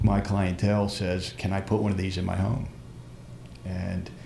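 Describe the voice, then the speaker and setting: Audible room echo surrounds this man's voice. He speaks at a moderate pace with a fairly low pitch. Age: 60s. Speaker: practitioner asking questions. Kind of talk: live stream Q&A.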